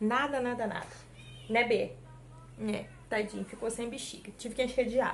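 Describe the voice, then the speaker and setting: Pausing long and often, a woman with a fairly high pitch talks at a moderate pace in monotone, flat intonation. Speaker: vlogger, mother. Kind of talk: casual vlog talk to camera. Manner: weak, struggles to speak at length.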